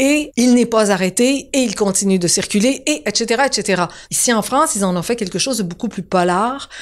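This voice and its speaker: Speaking in a Quebec accent, a woman sounds animated, with lively intonation and a fairly high pitch. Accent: Quebec French, deliberately kept. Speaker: TV showrunner and screenwriter. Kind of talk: interview. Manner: conversational, animated.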